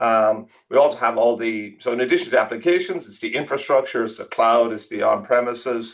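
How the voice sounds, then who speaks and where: Intonation stays fairly even as a man speaks with an Irish accent. He moves at a fairly quick pace. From Ireland, rural Tipperary. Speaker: tech executive. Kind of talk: interview. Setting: podcast.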